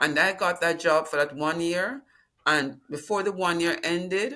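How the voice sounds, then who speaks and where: A woman with a Jamaican accent, fairly low in pitch, bright and sharp in tone, at a moderate pace with ordinary pitch variation, on a very clean recording with a silent background. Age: 70s. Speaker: retirement planning client, retired dean. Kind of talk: interview.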